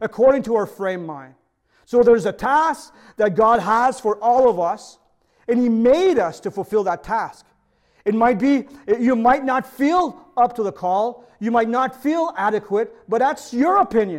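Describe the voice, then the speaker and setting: Extremely high-pitched, a man with a Quebec accent speaks at a fairly slow pace with lively intonation. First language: French. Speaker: pastor. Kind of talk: sermon. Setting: video recording for online service.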